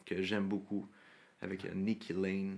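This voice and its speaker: The man's voice sits fairly low. He talks at a fairly slow speed. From Quebec, South Shore of Montreal. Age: 20s. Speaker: country singer. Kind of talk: casual interview.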